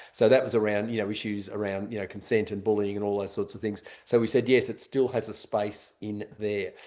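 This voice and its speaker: A man speaks in a fairly low, dark, mellow voice with monotone, flat intonation. He leaves hardly any pauses against a quiet background. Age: 60s. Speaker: road safety education expert. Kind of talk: webinar panel discussion. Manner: halting, many fillers and restarts.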